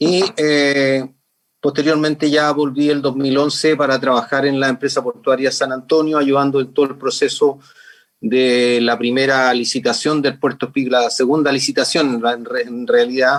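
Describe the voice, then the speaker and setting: A man's fairly high voice, a plain, everyday voice, at a moderate pace with very even loudness. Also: fairly even intonation. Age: 60s. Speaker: HR manager. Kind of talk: webinar talk.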